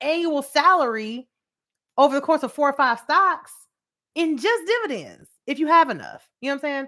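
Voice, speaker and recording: A woman with a high voice talks in an animated tone that sounds bright and sharp, on a very clean recording with a silent background. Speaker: finance educator and livestream host. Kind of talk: live stream teaching with viewer comments. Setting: livestream on YouTube. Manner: fast; animated, casual.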